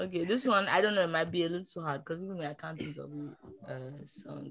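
The delivery is fairly quick, with vocal fry running through it. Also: woman. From Nigeria. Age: 20s. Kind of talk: casual chat.

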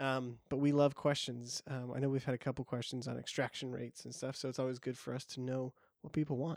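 A man's medium-pitched voice at a very fast pace with monotone, flat intonation, in a dry, close sound with no echo and a very clean recording with a silent background. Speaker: podcast host. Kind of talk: casual podcast chat about coffee.

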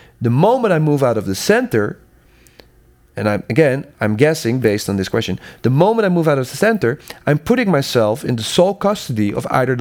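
Very wide pitch swings mark a man's medium-pitched voice as he talks at a fairly quick pace. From Netherlands. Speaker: sound consultant and educator. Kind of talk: interview conversation.

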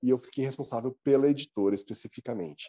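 A man with a dark, mellow tone speaks at a very fast pace, the sound dry and close with no echo. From Brazil, São Paulo city. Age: 40s. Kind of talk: interview.

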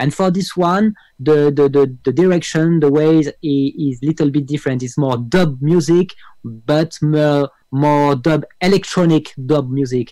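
With a dark, mellow tone and a fairly high pitch, a man speaks at a very slow pace with ordinary pitch variation. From France. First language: French (speaking Spanish). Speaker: music producer and keyboard player. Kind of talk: interview.

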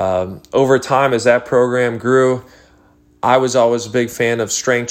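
A man with a medium-pitched voice talks fairly slowly. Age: 30s. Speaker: gym owner and fitness coach. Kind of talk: solo podcast monologue. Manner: halting, many fillers.

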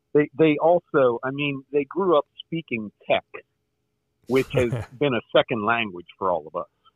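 Here is an ordinary speaking voice from a man at a fairly high pitch. His intonation is lively and his pace moderate. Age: 50s. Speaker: caller, military veteran. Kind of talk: call-in conversation.

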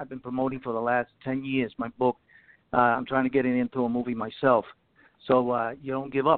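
The speaker moves at a fairly quick pace with monotone, flat intonation. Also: man, medium pitch for a man. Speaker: caller. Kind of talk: casual chat. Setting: phone call.

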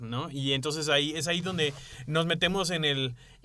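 A man's bright, sharp voice at a fairly quick pace, with fairly even intonation. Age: 30s. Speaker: podcast co-host. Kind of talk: casual chat.

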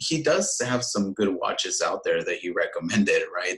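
Noticeable background noise behind a man at a moderate speaking pace. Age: 30s. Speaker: watch YouTuber. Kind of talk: casual chat.

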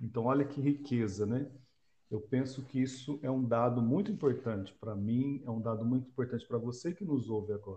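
Somewhat breathy, a man's dark, mellow voice sits at a medium pitch with ordinary pitch variation. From Brazil, Londrina (Paraná). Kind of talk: casual religious discussion.

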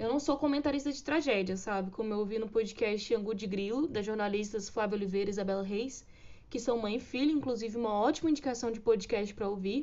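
A woman speaks very fast with ordinary pitch variation. Her pitch sits fairly high. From Brazil. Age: 20s. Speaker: podcast host, journalism student. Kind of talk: casual solo podcast monologue.

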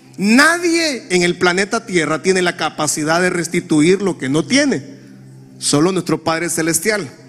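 A man with a high pitch and ordinary pitch variation talks while noticeable background noise carries on. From Honduras. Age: 40s. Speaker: pastor. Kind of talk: sermon.

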